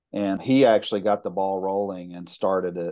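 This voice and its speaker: This man speaks with a Mississippi accent in a dark, mellow, fairly low voice and fairly even intonation. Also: quiet background. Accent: Mississippi Southern US. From US South, Mississippi (Jackson area). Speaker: college instructor and storytelling event organizer. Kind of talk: casual interview.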